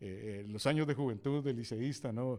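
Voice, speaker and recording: A man speaks in a dark, mellow tone. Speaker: veteran radio announcer. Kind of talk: interview answer, recalling anecdotes.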